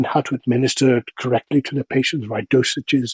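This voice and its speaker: A man with a medium pitch sounds somewhat breathy, recorded with a dry, close sound and no echo. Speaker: voiceover artist. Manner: distinguished, well-educated sounding.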